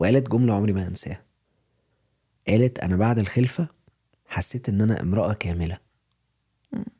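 A somewhat breathy man with an Egyptian accent, fairly low pitch and a dark, mellow tone, with long, frequent pauses and a dry, close sound with no echo. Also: ordinary pitch variation, moderate pace. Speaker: podcast co-host. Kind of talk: casual chat.

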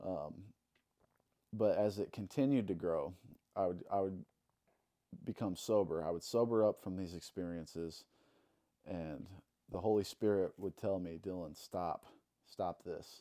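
A man with a Midwestern American accent speaks in a very deep, low pitch and a dark, mellow tone, at a fairly slow pace with ordinary pitch variation and long, frequent pauses. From Illinois, Alton. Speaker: tattoo artist. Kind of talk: testimony.

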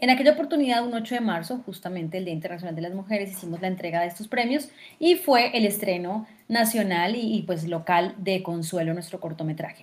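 Somewhat breathy, a woman at medium pitch speaks at a fairly quick pace with lively intonation and big swings in loudness. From Colombia, Fusagasugá (Cundinamarca). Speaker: actress, theatre director and film festival director. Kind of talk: interview.

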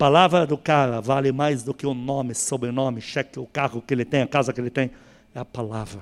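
Speaking at a fairly quick pace, a man with medium pitch and fairly even intonation has an unremarkable speaking voice, captured in a very clean recording with a silent background. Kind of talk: sermon.

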